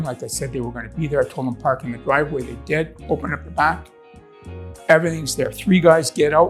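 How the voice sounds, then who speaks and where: A man at a fairly quick pace, big swings in loudness, music in the background. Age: 60s. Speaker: homeowner, customer. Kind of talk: customer testimonial, casual interview answer.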